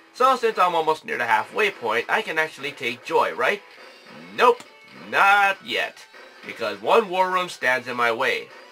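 Fairly slow male speech over background music. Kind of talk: gameplay commentary.

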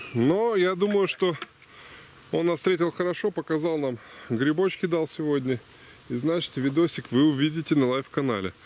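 The sound is dry with no echo and has light background noise. A man speaks at a moderate pace with ordinary pitch variation and long, frequent pauses. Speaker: mushroom-hunting vlogger. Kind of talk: casual vlog chat. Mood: cheerful, excited. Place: forest. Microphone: phone near.

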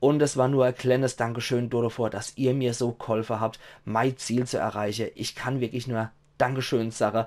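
A man's medium-pitched, flat, monotone delivery at a moderate pace against a quiet background. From Germany. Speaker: gaming video creator. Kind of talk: casual monologue to viewers. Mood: cheerful, grateful. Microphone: headset.

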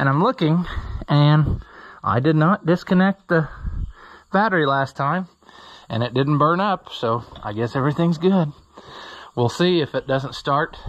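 A man at a fairly slow pace, with lively intonation and long, frequent pauses. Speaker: tractor collector. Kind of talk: casual vlog chat. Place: farm machine. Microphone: phone near.

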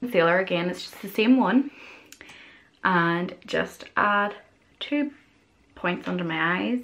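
A woman with a Northern Irish accent speaks at a very slow pace, with long, frequent pauses. Her intonation is lively and her loudness swings a lot. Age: 20s. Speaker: beauty vlogger. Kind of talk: makeup tutorial talk to camera. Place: home room. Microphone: phone near.

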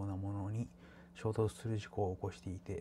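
Over light background noise, a man speaks in a dark, mellow tone that is somewhat breathy. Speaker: home vlogger. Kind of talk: casual news commentary. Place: home room. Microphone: webcam.

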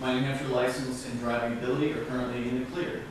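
Through noticeable background noise and strong room echo, a man speaks with fairly even intonation. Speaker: defendant. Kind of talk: courtroom statement. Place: hall. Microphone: camera far.

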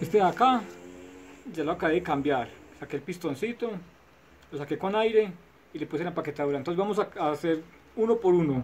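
A man talks at a fairly quick pace. His intonation is lively. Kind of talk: tutorial. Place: garage. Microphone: phone near.

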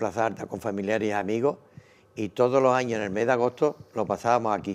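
A man rattles along at a very fast pace, his intonation staying fairly even. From Andalusia, Algeciras; Andalusia. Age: 80s+. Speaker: charity volunteer; interview guest. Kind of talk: interview. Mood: warm, grateful. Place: studio. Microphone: lapel.

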